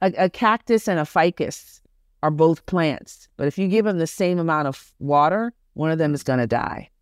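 A woman's very deep, low pitch with an American accent at a moderate pace on a very clean recording against a silent background. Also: dry, close sound with no echo. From US, Brooklyn (Flatbush), Jamaican family. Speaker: diversity and inclusion speaker. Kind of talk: interview conversation.

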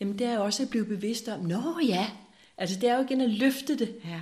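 A woman with a fairly high pitch and ordinary pitch variation talks at a moderate pace. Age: 60s. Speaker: spiritual seeker sharing her life story. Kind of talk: reflective interview conversation. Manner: halting with many hesitations.

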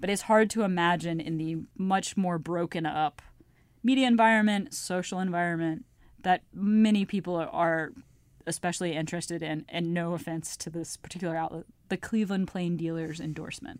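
A woman with a normal speaking voice talks at a moderate pace, her pitch fairly low with ordinary pitch variation. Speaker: politics editor. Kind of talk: casual interview chat.

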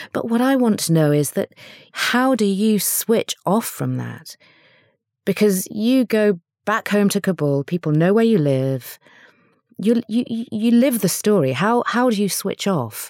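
Fairly slow speech from a woman with a plain, everyday voice, medium in pitch. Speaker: podcast host and journalist. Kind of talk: interview.

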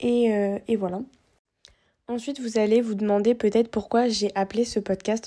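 The voice has a dark, mellow tone and a monotone, flat intonation, delivered at a moderate pace. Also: woman. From Réunion. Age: 20s. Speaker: student podcaster. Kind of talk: casual personal monologue. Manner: halting.

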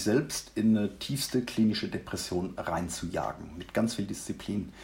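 Hardly pausing, a man talks at a moderate pace and fairly low pitch, with vocal fry and ordinary pitch variation. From Mannheim, Germany. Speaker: leadership coach. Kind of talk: interview, personal story.

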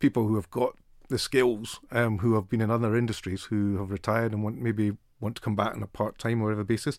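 With a Scottish accent, a man rattles along at a very fast pace in a fairly low pitch, his intonation fairly even, on a very clean recording with a silent background. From Scotland. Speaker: podcast host. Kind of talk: interview.

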